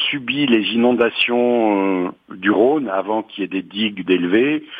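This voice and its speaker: Speaking at a fairly slow pace, a man with medium pitch and ordinary pitch variation has a plain, everyday voice. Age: 60s. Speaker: retiree, cooperative housing resident. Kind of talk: interview.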